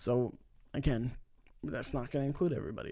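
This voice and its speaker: On a very clean recording with a silent background, a man with an American accent uses a normal speaking voice at a moderate pace with ordinary pitch variation. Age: 20s. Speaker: gaming podcast host. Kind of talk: casual chat.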